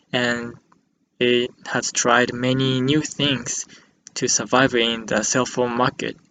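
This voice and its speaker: At a fairly slow pace, a man with a Japanese accent speaks at medium pitch. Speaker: student. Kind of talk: class presentation.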